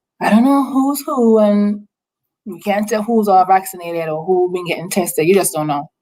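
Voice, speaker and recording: Speaking at a very fast pace, a woman with an Antiguan accent has a dark, mellow tone. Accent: Antiguan Caribbean. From Caribbean, Antigua. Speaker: nursing assistant and nonprofit founder. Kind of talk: casual interview. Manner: animated, many repetitions and fillers.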